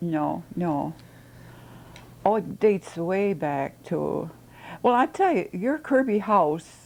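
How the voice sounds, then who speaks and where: A woman talks very slowly, her intonation lively. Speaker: retired schoolteacher. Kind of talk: oral history interview answer.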